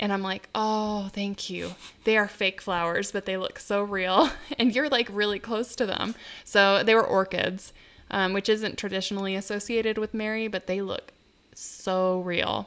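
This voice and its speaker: In a very clean recording with a silent background, a woman speaks at a moderate pace with a medium pitch and a monotone, flat intonation. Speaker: podcast co-host. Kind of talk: casual chat. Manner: loud.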